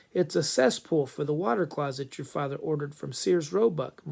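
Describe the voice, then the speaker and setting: A man puts on a raspy character voice with a fairly high pitch. He talks at a fairly quick pace with lively intonation. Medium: read story.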